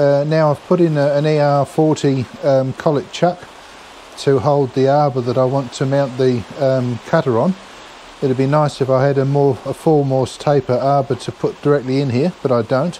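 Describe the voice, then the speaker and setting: Light background noise sits beneath a man speaking at a moderate pace with fairly even intonation. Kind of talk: tutorial. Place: workshop. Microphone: camera far.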